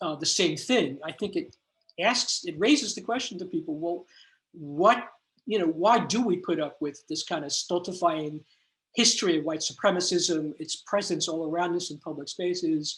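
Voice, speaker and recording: A man with an American accent speaks at a high pitch and moderate pace with ordinary pitch variation. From New York. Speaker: artist and academic lecturer. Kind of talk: Q&A after lecture. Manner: halting, many fillers.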